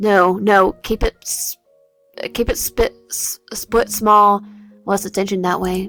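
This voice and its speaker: Quiet and raspy, a woman puts on a character voice at a medium pitch, talking very slowly with monotone, flat intonation while music plays in the background. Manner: secretive, tense.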